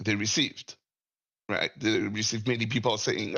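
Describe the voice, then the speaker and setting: A man with a French accent at a medium pitch, talking at a fairly quick pace. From France. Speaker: caller. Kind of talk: casual discussion. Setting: Discord voice call. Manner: halting.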